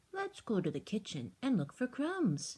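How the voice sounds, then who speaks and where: A female-sounding, put-on character voice speaks at a moderate pace with a medium pitch. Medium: read story.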